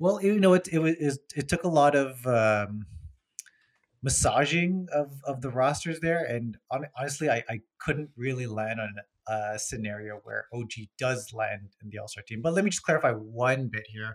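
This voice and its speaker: On a very clean recording with a silent background, a man in a plain, everyday voice speaks with lively intonation and big swings in loudness. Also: medium pitch for a man, moderate pace. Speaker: podcast co-host, Raptors fan. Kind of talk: casual sports chat podcast.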